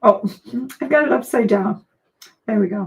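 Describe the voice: A man puts on a hoarse character voice with a high pitch and lively intonation. He speaks at a moderate pace.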